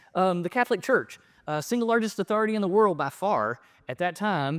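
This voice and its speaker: The delivery is animated and very fast, with lively intonation. The sound is dry and close with no echo, on a very clean recording with a silent background. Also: man. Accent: Southern US. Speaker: professor. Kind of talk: lecture. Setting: stage with audience.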